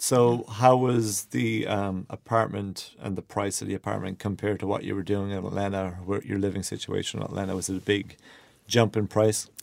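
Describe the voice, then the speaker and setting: A man speaks with an Irish accent at a fairly quick pace. His pitch sits fairly low. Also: fairly even intonation. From Ireland. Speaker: podcast host. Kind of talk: casual interview chat. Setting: small studio.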